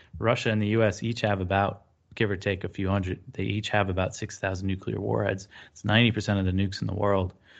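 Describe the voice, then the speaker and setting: A man talks at a very fast pace in a fairly low pitch, with vocal fry and monotone, flat intonation, against a quiet background. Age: 30s. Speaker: news editor, foreign policy commentator. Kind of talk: interview. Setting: video call. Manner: halting, many fillers.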